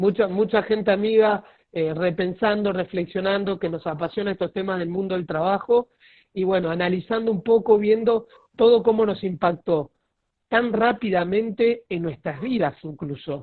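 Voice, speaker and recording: Speaking with a Rioplatense accent, the voice keeps a moderate pace and ordinary pitch variation. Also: man, high pitch for a man. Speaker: lawyer, live-stream host. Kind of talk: casual chat. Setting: video call.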